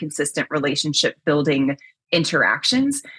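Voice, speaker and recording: A woman talks at a moderate pace. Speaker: chief risk officer, safety professional. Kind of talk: podcast interview.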